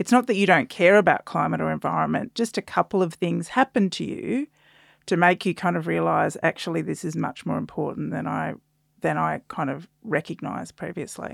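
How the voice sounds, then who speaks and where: Speaking at a fairly quick pace, a woman with an Australian accent comes through in a dry, close sound with no echo. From South Australia. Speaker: climate communication researcher and author. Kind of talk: casual interview chat.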